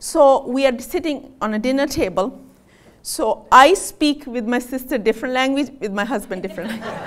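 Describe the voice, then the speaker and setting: A woman with a high-pitched voice talks at a moderate pace. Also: ordinary pitch variation. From Pakistan. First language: Punjabi. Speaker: physician. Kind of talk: health talk to audience. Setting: stage with audience. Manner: animated.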